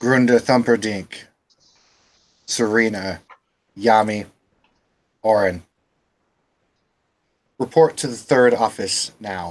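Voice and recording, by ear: A booming, put-on character voice speaks at a fairly slow pace. Long pauses come often. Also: man, medium pitch for a man.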